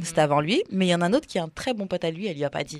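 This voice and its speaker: The sound is close and dry, without echo. A woman's intonation is lively. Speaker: podcast host and radio DJ. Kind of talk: casual chat.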